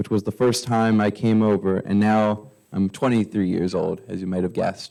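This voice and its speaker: A man with a fairly low pitch and a plain, everyday voice, at a moderate pace. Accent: American. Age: 20s. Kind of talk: prepared public speech. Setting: council meeting, at microphone.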